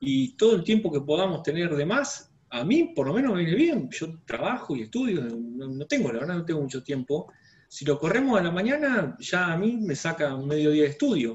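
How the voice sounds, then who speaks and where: A man talks at a moderate pace with hardly any pauses. His high voice swings very widely in pitch. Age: 40s. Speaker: student. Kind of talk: casual discussion in class. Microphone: video call.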